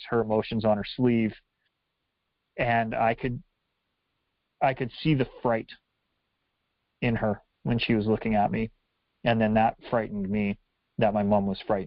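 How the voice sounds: A man talks at a fairly slow pace with long, frequent pauses and little pitch movement. His fairly low voice comes through dry and close, with no echo.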